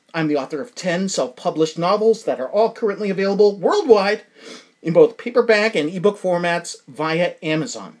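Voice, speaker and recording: This man has a high-pitched voice and an American accent. He talks at a fairly quick pace. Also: ordinary pitch variation. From New England, US. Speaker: podcast host and self-published novelist. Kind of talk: casual monologue and interview. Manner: animated.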